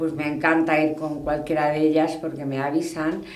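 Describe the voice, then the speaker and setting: A woman's moderate-paced voice comes through audible room echo and noticeable background noise. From Spain, Toledo. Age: 60s. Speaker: hunting club president. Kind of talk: interview. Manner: conversational, with hesitations.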